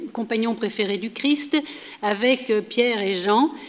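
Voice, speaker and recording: A fairly high-pitched woman's voice over noticeable background noise. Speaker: historian, lecturer. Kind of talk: lecture.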